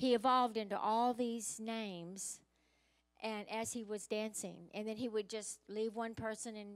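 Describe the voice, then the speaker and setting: A woman speaks at a moderate pace, her voice dry with no echo against a quiet background. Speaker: pastor. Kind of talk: sermon. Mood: warm, joyful. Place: church. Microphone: handheld.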